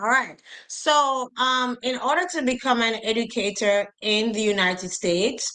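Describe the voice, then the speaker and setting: A woman speaks in a bright, sharp tone with a Jamaican accent. Her pitch is fairly high, with ordinary pitch variation. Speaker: educator, teacher recruitment advisor. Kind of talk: instructional talk in interview. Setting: live stream video call.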